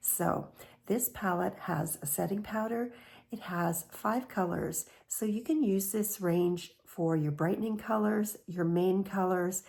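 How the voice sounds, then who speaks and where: This woman has an unremarkable speaking voice, medium pitch, ordinary pitch variation and a fairly slow pace. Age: 60s. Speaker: beauty vlogger. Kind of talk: tutorial.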